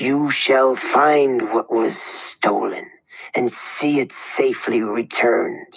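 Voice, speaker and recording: In a raspy, put-on character voice at medium pitch, a man speaks at a very slow pace. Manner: prophetic, ominous.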